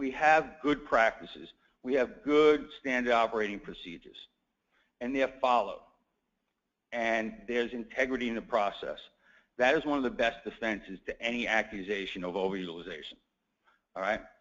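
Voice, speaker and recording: With an American accent, a man talks at a fairly quick pace and medium pitch, using ordinary pitch variation and long, frequent pauses. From New York. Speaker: healthcare attorney. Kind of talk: conference talk.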